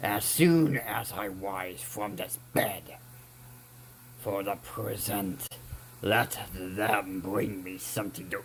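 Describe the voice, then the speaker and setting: Over clear background noise, a growling put-on character voice moves at a fairly slow pace with very wide pitch swings. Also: man. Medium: read story. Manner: impatient, irritable.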